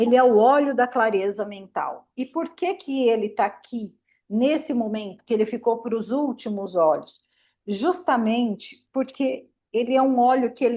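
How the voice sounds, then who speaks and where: Against a quiet background, a woman speaks fairly slowly in a high pitch with a dark, mellow tone and ordinary pitch variation. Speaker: aromatherapist. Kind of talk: online class.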